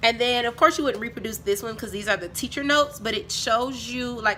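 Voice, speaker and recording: A woman speaks at a high pitch and a fairly quick pace. Her pitch varies in an ordinary way over noticeable background noise. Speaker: teacher and video creator. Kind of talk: casual haul video.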